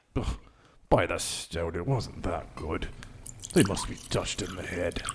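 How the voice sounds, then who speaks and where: Putting on a character voice, a man talks at a moderate pace, his very deep, low pitch gruff and rumbling. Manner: grumbling, gruff.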